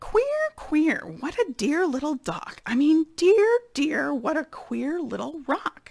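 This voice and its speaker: In a put-on character voice with a high pitch, the speaker talks at a fairly slow pace. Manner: comically muddled, swapping words.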